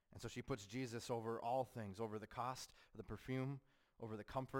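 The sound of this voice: With fairly even intonation, this is an unforced reading voice.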